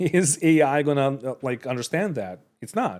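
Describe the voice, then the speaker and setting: With a non-native accent, a man talks at a fairly slow pace in a fairly high voice with lively intonation. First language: not English. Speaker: streamer reacting to videos. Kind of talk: casual reaction commentary. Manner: halting, many fillers and restarts.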